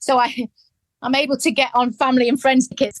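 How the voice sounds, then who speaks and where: A woman with an English accent speaks at a moderate pace, the sound dry and close with no echo. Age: 50s. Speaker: adult adoptee, charity founder. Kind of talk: interview testimony. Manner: halting.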